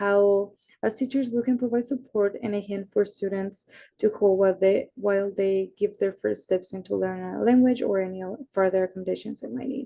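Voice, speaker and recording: Speaking at a fairly quick pace with a Spanish accent, a woman holds a medium pitch and fairly even intonation. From Mexico and Iowa. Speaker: university student. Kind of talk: class presentation.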